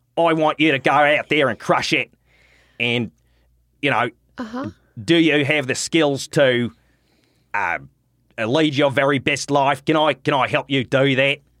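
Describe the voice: A raspy, put-on character voice in an Australian accent, low-to-middle in pitch, fairly slow with long, frequent pauses, on a very clean recording with a silent background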